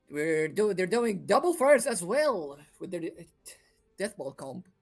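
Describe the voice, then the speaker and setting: The speaker has a Scottish accent and a moderate pace. Music plays in the background. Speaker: esports commentator. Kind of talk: live commentary. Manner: animated.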